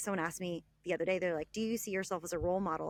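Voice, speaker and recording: A woman speaks with a Texan accent. The recording is very clean, with a silent background. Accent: Texan American. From Texas (Dallas). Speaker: travel blogger and author. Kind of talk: podcast interview.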